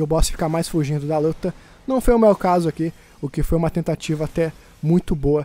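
A man speaks with a Brazilian accent at a very fast pace. His voice is fairly high in pitch with a dark, mellow tone. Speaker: gaming YouTuber. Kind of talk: gameplay commentary narration. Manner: casual, conversational.

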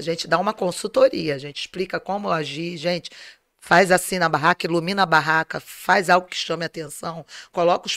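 A woman talks at a fairly quick pace with a fairly low pitch and ordinary pitch variation. The background is quiet, and the sound is dry with no echo. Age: 50s. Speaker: entrepreneur, organizer of a family fair; guest. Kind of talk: interview. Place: home room. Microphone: studio mic.

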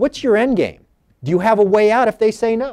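Against a quiet background, the speaker's dark, mellow tone moves at a moderate pace with ordinary pitch variation. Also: man. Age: 50s. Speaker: former intelligence officer and author. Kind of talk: panel discussion. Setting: stage with audience. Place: hall.

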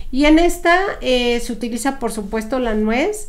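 A fairly slow, high-pitched woman's voice. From Mexico. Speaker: podcast co-host, cook; podcast co-host. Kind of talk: casual chat about historical recipes. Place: home room. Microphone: studio mic.

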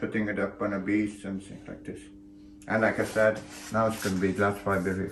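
A man with a fairly low pitch speaks at a moderate pace, somewhat breathy. Audible room echo and light background noise are present. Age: 80s+. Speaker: sailor and boatbuilder. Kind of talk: workshop video diary. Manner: casual, conversational. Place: workshop.

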